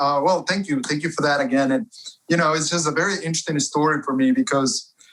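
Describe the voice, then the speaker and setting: Here a man talks in a Spanish accent. His pitch is fairly high and his tone bright and sharp. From Ecuador, Cuenca. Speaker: author and publisher. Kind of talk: interview.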